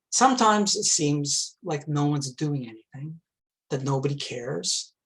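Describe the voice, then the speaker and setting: Here is a man with a Canadian accent and a fairly high pitch. He has a plain, everyday voice. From Quebec, Montreal. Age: 60s. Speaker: climate activist, retired engineer. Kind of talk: talk to a club.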